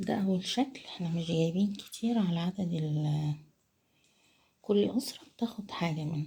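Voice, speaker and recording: Quiet and somewhat breathy, a woman with an Egyptian accent speaks at a fairly slow pace with a fairly low pitch and a dark, mellow tone. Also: lively intonation. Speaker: cooking channel host. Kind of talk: casual vlog. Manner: quiet, lowered voice.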